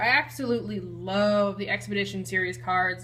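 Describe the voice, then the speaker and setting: Against noticeable background noise, a woman speaks in an animated, enthusiastic tone. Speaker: YouTube card collector. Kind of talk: casual collection showcase.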